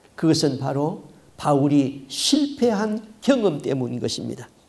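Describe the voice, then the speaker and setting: A man speaks very slowly, his pitch swinging very widely. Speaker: pastor. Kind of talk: sermon. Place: church. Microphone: podium.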